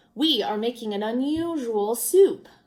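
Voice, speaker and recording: Putting on a character voice, a woman talks at a moderate pace with a fairly high pitch and lively intonation. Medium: read story. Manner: showy, persuasive.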